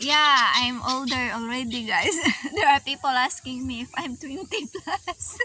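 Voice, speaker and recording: A woman speaks in a raised, projected voice at a high pitch. Her pace is fairly slow, and background noise is noticeable. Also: ordinary pitch variation. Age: 30s. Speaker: vlogger. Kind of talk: casual chat. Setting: outdoors.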